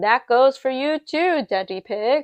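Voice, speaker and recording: Loud and high-pitched, a woman uses a put-on character voice at a fairly slow pace. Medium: read story. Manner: brisk, loud.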